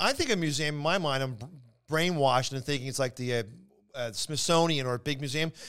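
A man with a Philadelphia accent speaks at a fairly high pitch with lively intonation, on a very clean recording with a silent background. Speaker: comedian. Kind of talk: casual chat.

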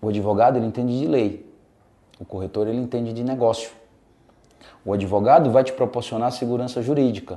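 Delivered at a fairly quick pace with long, frequent pauses, the voice has a dark, mellow tone and fairly even intonation. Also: man, medium pitch for a man. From Brazil, Rio Grande do Norte (Natal). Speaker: real estate sales director. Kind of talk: interview.

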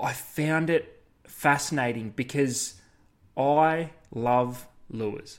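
A man with an Australian accent speaks very slowly at a fairly high pitch, with long, frequent pauses and fairly even intonation, on a very clean recording with a silent background. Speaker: fishing podcast co-host. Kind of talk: casual chat.

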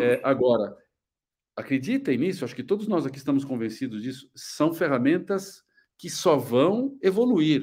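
A man with a fairly high pitch and lively intonation. He has an ordinary speaking voice. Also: very clean recording, silent background. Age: 60s. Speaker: architecture business and marketing consultant. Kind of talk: panel discussion.

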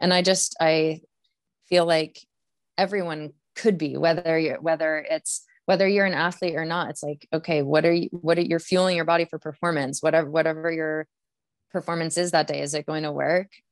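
Her voice fairly low, a woman talks at a fairly quick pace in a monotone, flat intonation. The sound is dry and close with no echo, over a quiet background. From Maine. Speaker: Olympic biathlete. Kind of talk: casual interview.

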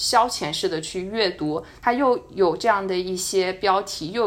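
An ordinary speaking voice from a woman, medium in pitch, with ordinary pitch variation. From China. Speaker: podcast co-host, student abroad. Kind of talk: casual chat. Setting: at home, remote recording.

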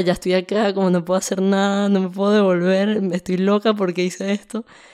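Fairly low in pitch, a woman with a plain, everyday voice talks at a moderate pace on a very clean recording with a silent background. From Venezuela, Caracas. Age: 20s. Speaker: music composer. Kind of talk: interview testimony.

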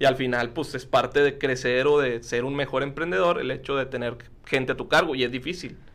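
Speaking fairly quickly in a normal speaking voice, a man keeps a medium pitch and fairly even intonation. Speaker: podcast host. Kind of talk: casual interview chat.

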